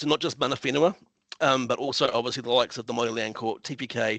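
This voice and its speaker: A man talks with a New Zealand accent and ordinary pitch variation. The sound is dry and close, with no echo. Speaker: council planner. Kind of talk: conference presentation. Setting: online video meeting. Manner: fast; hesitant, many fillers and repetitions.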